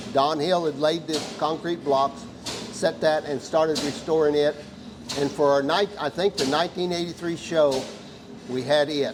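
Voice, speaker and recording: A man speaks at a fairly high pitch and moderate pace. Noticeable background noise runs behind him. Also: fairly even intonation. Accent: American. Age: 80s+. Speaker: tractor club founder. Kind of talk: casual interview. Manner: hesitant, many fillers.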